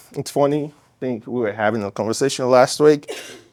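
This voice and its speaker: In an African accent, a man speaks at medium pitch with ordinary pitch variation. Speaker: startup founder. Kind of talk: pitch Q&A. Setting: stage with audience.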